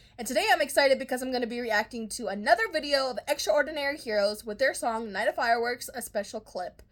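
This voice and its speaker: A very fast, animated delivery with lively intonation over noticeable background noise. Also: woman. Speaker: K-pop reaction youtuber. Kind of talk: casual reaction video.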